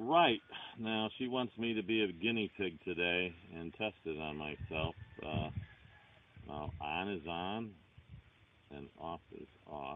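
Over light background noise, a man with a very deep, low voice speaks at a fairly slow pace with ordinary pitch variation and long, frequent pauses, in a dry sound with no echo. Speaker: rural vlogger. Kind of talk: casual vlog chat. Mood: relaxed, chatty. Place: forest. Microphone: phone near.

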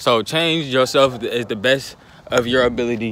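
A man is recorded with light background noise and a dry sound with no echo. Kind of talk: casual vlog chat. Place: street. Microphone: phone near.

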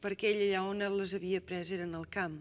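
Here a woman is speaking. Her pace is fairly slow. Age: young. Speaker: singer. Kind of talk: interview answer. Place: studio.

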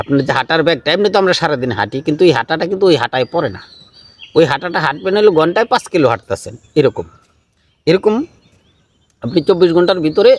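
A man with an ordinary speaking voice and a fairly high pitch speaks with lively intonation. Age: 50s. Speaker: Sufi spiritual speaker. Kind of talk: question-and-answer talk giving advice.

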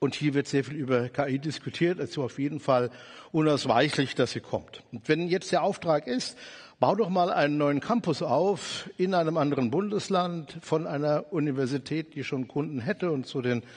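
A man at a moderate pace, ordinary pitch variation, quiet background. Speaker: conference speaker. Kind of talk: lecture. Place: stage. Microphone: headset.

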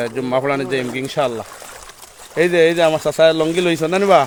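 There is noticeable background noise behind the speaker. A man talks at a fairly high pitch with fairly even intonation. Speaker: Islamic scholar and madrasa principal. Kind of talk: walking live video report with religious exhortation. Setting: outdoors, walking through flooded roads. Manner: casual, chats with villagers along the way.

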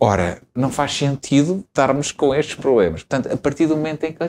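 A dark, mellow tone at a moderate pace, with ordinary pitch variation and light background noise. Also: man. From Portugal, Lisbon area (Estoril coast); Portugal. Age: 40s. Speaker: politician and lawyer, father of seven; politician, lawyer. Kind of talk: interview; interview answer. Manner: hesitant, many fillers and repetitions. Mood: relaxed, warm storytelling. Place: studio. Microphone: lapel.

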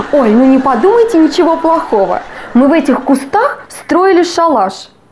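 A woman talks at a fairly slow pace with light background noise. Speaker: comedian. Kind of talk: stand-up comedy. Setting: stage with audience. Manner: animated, playing out dialogue between husband and wife.

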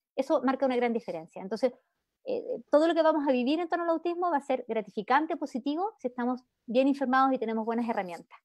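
Very fast and with lively intonation, a woman with a Chilean accent speaks at a high pitch in a dry, close sound with no echo. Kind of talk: talk. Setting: video call.

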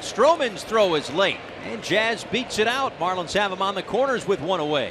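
This man's voice is high-pitched and energetic in tone. He talks at a fairly quick pace over noticeable background noise. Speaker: baseball commentator. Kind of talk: live play-by-play sports commentary. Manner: rapid, energetic play-by-play calls with bursts of excitement; light, jokey asides between calls.

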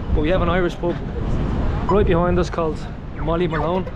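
A man's voice over loud background music. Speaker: travel vlogger. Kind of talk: casual vlog chat. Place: street. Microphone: phone near.

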